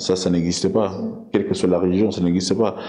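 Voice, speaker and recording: With audible room echo and noticeable background noise, a man speaks in a very deep, low pitch. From Belgium, of Congolese origin. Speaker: interviewee. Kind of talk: interview. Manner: halting, many hesitations.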